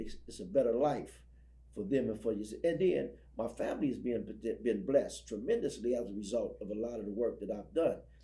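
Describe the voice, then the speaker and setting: Fairly quick speech from a man, set against audible room echo. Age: 60s. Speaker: ex-prisoner and prison ministry speaker. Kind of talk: interview testimony. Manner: halting, repeats words.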